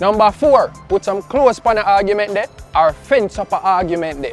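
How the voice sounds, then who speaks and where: Music plays in the background as a man talks at a moderate pace. He has a Jamaican accent and lively intonation. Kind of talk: casual talk to camera.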